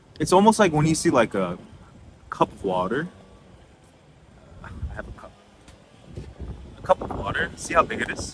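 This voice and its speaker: A man with an American accent speaks at a moderate pace in a fairly high pitch, his voice swinging very widely in pitch and heavily in loudness, with long, frequent pauses over noticeable background noise. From United States. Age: 30s. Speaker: singer-songwriter and music tech entrepreneur. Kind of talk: casual talk to camera.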